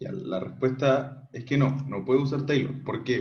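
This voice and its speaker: A man's medium-pitched, somewhat breathy voice carries audible room echo. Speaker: math tutor. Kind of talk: online tutorial. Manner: casual, many fillers.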